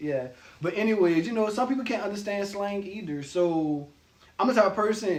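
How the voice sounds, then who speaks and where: A man's high-pitched, passionate voice at a fairly quick pace, over noticeable background noise. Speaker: video co-host. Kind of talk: casual chat. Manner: assertive, passionate.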